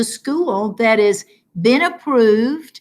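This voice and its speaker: A woman speaks with an American accent, her pitch fairly high and her intonation varying in an ordinary way. The recording is very clean with a silent background. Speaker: teacher. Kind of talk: casual chat.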